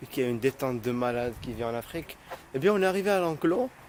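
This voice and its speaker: With very wide pitch swings and an animated tone, a man speaks at a moderate pace against noticeable background noise. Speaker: YouTuber vlogger. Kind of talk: casual vlog. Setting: outdoors at a zoo.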